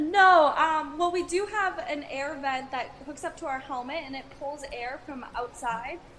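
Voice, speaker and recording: With big swings in loudness and hardly any pauses, a woman talks at a fairly slow pace in a high voice with ordinary pitch variation, over noticeable background noise. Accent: American. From Wisconsin. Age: 20s. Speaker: race car driver. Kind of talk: interview.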